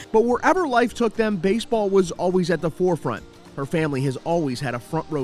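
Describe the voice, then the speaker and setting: Music plays in the background as a man talks at a fairly quick pace. His pitch makes very wide swings. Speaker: reporter. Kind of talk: TV news feature narration.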